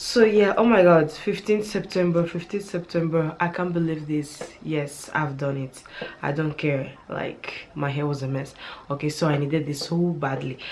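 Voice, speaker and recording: Against noticeable background noise, a woman talks with a very deep, low pitch. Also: ordinary pitch variation, moderate pace. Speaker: beauty and hair vlogger. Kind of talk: casual vlog tutorial. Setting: home at night, children sleeping.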